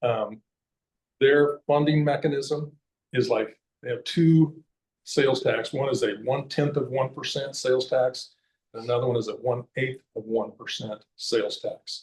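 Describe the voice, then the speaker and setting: With fairly even intonation, a man speaks in a somewhat breathy voice at a fairly high pitch. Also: moderate pace. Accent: Midwestern American. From Kansas. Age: 60s. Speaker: conservation advocate and hunter. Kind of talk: public talk. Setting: library meeting room with audience. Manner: casual, halting with fillers.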